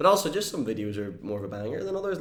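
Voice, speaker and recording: With audible room echo, a man speaks at a very fast pace. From Northern Ireland. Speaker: YouTuber and entertainer. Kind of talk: casual interview chat.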